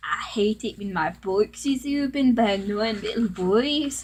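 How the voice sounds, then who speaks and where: A put-on character voice, female-sounding and raspy, comes at a moderate pace with a fairly high pitch. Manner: snide.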